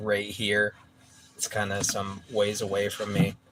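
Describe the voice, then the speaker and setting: Someone with an American accent talks at a fairly slow pace over noticeable background noise. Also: man. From San Francisco Bay Area, California. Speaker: musician streaming a live gaming stream. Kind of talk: casual chat. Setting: livestream. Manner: quiet, soft-spoken.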